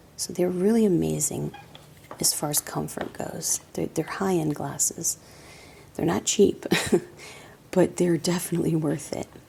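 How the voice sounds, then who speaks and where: Soft-spoken and relaxed, a woman talks at a fairly slow pace with long, frequent pauses over noticeable background noise. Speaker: optical shop owner / optician. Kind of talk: ASMR product show-and-tell. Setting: quiet indoor room, close-mic. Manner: soft-spoken, relaxed.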